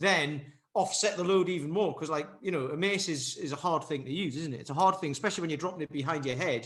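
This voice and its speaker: The speaker has a northeast English accent and ordinary pitch variation. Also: man. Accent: north-east English. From north-east England, Durham. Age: 40s. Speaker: fitness coach and martial artist. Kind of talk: podcast interview.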